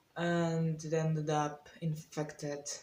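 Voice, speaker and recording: A woman speaks with a non-native accent, her pitch fairly low. Her tone is dark and mellow, and somewhat breathy. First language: not English. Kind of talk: casual storytime talk to camera.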